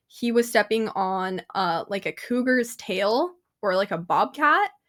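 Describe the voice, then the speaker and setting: In a very clean recording with a silent background, a woman with an unremarkable speaking voice talks at a fairly slow pace in a fairly high pitch with lively intonation. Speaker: paranormal radio show host. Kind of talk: interview answer. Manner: upbeat.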